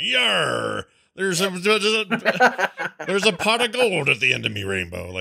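A man's put-on character voice, high-pitched and very slow. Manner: comic, failed imitation.

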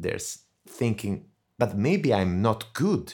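A man with an Italian accent speaks at a fairly low pitch on a very clean recording with a silent background. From Italy. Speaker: death metal vocalist and voice doctor. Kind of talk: interview. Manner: hesitant, many fillers.

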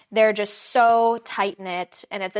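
The speaker has an American accent and talks at a moderate pace with ordinary pitch variation. The recording is very clean, with a silent background. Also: woman. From Los Angeles, California. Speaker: ER nurse and business owner. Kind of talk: casual interview chat.

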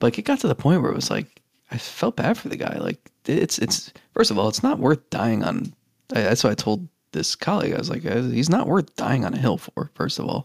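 Speaking at a fairly quick pace, a man with a fairly high pitch and vocal fry makes very wide pitch swings. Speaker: sports reporter and podcast co-host. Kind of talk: casual sports podcast chat.

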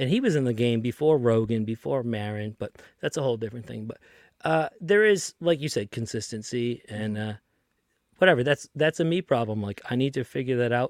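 Speaking at a fairly quick pace, a man with a Boston accent uses lively intonation. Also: medium pitch for a man, dry, close sound with no echo, very clean recording, silent background. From Lynn, Massachusetts (Boston area). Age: 30s. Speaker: tour manager and podcast host. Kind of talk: casual chat.

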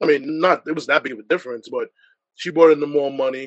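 Speaking fairly quickly, the man talks with an American accent. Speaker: sports podcaster. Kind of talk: panel discussion.

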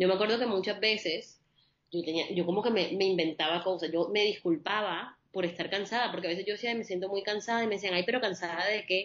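Very fast speech from a woman at medium pitch, with fairly even intonation. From Colombia, Caribbean coast (Barranquilla). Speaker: holistic psychologist. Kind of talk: interview. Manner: calm.

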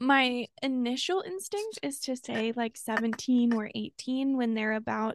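Against a quiet background, a woman with a fairly high pitch speaks at a moderate pace with ordinary pitch variation and an animated tone, the sound dry and close with no echo. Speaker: podcast co-host. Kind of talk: casual chat. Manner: animated, laughs often.

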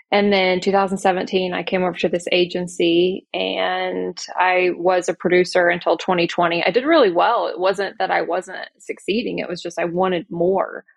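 A woman with an American accent talks at a medium pitch, with hardly any pauses. Her intonation is monotone and flat. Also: moderate pace. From Oklahoma. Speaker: insurance agency leader. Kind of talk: casual interview.

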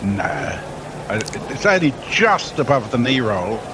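Over noticeable background noise, a man with an Australian accent speaks at a medium pitch with very wide pitch swings. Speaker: cricket commentator. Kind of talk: live commentary.

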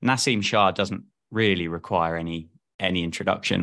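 A man is speaking. His tone is bright and sharp. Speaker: cricket live stream commentator and content creator. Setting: video call.

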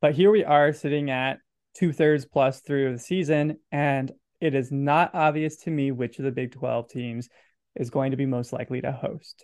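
With an American accent, a man speaks at a moderate pace in a normal speaking voice, his pitch fairly high and his intonation fairly even. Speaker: podcast host. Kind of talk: casual sports podcast chat.

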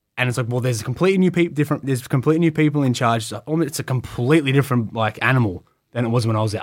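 At a very fast pace and with ordinary pitch variation, the speaker talks in an Australian accent on a very clean recording with a silent background. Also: man. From Melbourne western suburbs, Australia. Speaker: professional wrestler. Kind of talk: casual interview chat. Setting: studio.

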